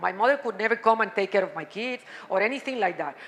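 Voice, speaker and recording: The speech moves at a very fast pace with lively intonation over noticeable background noise. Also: woman. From Cuba. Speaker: panelist. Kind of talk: panel discussion talk. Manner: halting.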